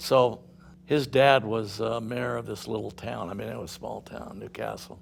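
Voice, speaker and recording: A man talks at a moderate pace. He has a Californian accent. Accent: Californian American. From Southern California. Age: 80s+. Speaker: company founder. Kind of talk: interview storytelling. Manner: halting, many fillers.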